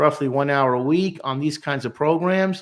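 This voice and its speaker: A normal speaking voice at a moderate pace, captured in a very clean recording with a silent background. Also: man. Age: 60s. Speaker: clinical social worker. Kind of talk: live stream talk. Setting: live stream.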